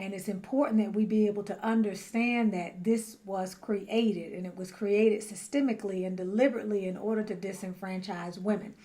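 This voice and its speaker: A soft-spoken woman talks at a fairly quick pace with hardly any pauses and a medium pitch. Her intonation is fairly even, but her loudness swings widely. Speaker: spiritual teacher and tarot reader. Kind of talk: talking-head monologue.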